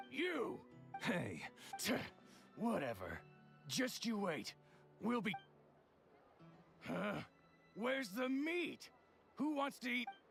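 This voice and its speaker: Over clear background music, a put-on character voice, raspy and fairly high-pitched, moves at a fairly slow pace with long, frequent pauses. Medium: video game. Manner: rough, sneering.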